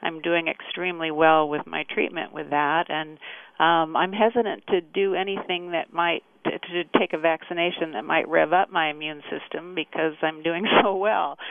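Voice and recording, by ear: At a moderate pace, a woman talks with a low pitch, vocal fry and fairly even intonation.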